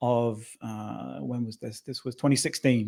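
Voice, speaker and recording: Speaking with a British accent, a man keeps his intonation fairly even. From northern England. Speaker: tech company founder and CEO. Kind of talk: interview. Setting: radio studio.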